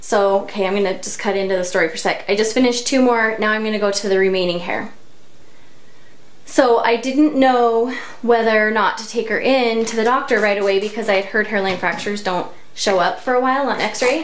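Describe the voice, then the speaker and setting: A woman's fairly high voice in a Utah accent, fairly quick, with ordinary pitch variation, audible room echo and noticeable background noise. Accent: Utah American English. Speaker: hair tutorial vlogger. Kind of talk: tutorial. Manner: casual, chatty.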